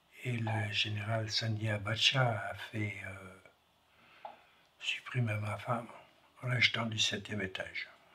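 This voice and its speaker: A man speaks very slowly in a fairly low, monotone, flat voice, leaving long, frequent pauses. Noticeable background noise runs behind him. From France. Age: 70s. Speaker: foyer resident. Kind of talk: testimony.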